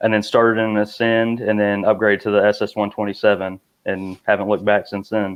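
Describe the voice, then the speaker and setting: This man speaks with a Missouri Bootheel accent in a fairly low pitch. His intonation is monotone and flat. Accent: Bootheel Missouri accent, noticeable. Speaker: kayak angler, IT worker. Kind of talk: casual chat.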